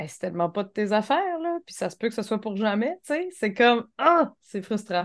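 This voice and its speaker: A woman's fairly high voice at a moderate pace, with very wide pitch swings and big swings in loudness against a quiet background. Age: 30s. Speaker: podcast co-host. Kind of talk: casual chat.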